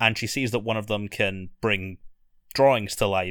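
A man with a Scottish accent speaks at a fairly low pitch in a flat monotone. His tone is bright and sharp, and the recording is very clean with a silent background. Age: 20s. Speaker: author and video essayist. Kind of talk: casual chat. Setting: at home in his room.

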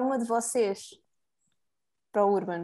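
A woman's dark, mellow tone, with fairly even intonation and a fairly slow pace. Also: quiet background. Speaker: student podcast host. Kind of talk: casual chat.

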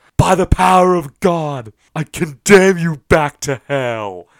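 Putting on a character voice, a man speaks in a fairly high register with a dramatic tone, lively intonation and a fairly slow pace. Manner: dramatic, commanding.

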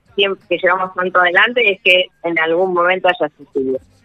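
The speaker is a man. His voice sits high in pitch. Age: 60s. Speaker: government official. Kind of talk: radio interview.

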